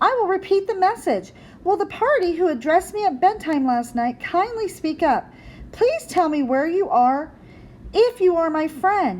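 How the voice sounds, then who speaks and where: A woman uses a put-on, squeaky character voice at an extremely high pitch and a moderate pace. Clear background noise sits behind her. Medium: read story.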